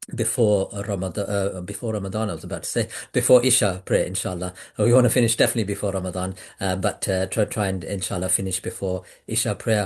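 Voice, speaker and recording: A man talks very fast with a fairly low pitch and fairly even intonation. His voice is somewhat breathy, over a quiet background. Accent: British. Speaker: webinar host for pilgrimage travel group. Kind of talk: online webinar introduction. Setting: Zoom video call. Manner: hesitant, many fillers.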